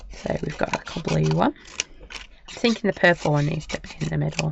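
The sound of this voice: A croaky woman's voice, low-pitched with vocal fry, at a fairly quick pace with ordinary pitch variation and faint background noise.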